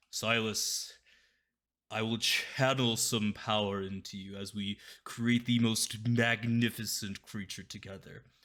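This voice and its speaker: In a put-on character voice, a man booms at a fairly slow pace with medium pitch and a monotone, flat delivery, on a very clean recording with a silent background. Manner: commanding, grand.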